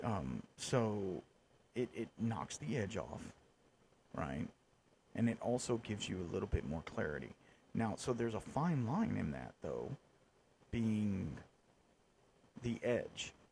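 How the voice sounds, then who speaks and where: Using vocal fry and a fairly low pitch, a man talks at a fairly slow pace with very wide pitch swings and long, frequent pauses. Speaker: podcast host. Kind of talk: casual chat.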